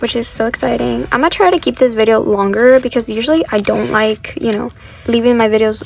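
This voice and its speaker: A woman with a Spanish accent, over noticeable background noise. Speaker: K-pop collector YouTuber. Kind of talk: casual chat. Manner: casual, many fillers.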